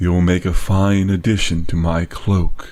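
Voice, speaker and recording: Putting on a character voice, a man speaks in a very deep, low pitch at a fairly slow pace, breathy and menacing, with monotone, flat intonation. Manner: quiet, menacing.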